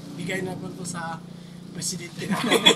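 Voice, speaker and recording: A man's high-pitched voice with noticeable background noise and audible room echo. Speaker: adventure vlogger, rescue team member. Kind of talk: casual group video outro with shoutouts. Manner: loud.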